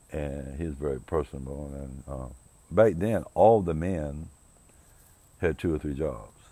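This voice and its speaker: A man's very deep, low voice with a dark, mellow tone, ordinary pitch variation, fairly slow pace, big swings in loudness and long, frequent pauses. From US South, rural South Carolina. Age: 60s. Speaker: podcast host. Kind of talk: personal monologue. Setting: outdoors on his porch. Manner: reflective, hesitant with fillers.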